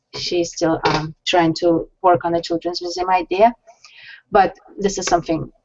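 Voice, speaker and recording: Her Russian accent comes through at a moderate pace. The woman's pitch is fairly low and her intonation fairly even. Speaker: science center founder and director. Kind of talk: interview on web show.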